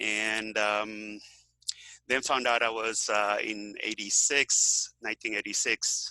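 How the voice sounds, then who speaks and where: Speaking very slowly in a fairly low pitch, a man delivers monotone, flat intonation with a bright, sharp tone, the sound dry and close with no echo. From Venezuela. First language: Spanish. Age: 60s. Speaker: health author and activist. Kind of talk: interview. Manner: halting, many fillers.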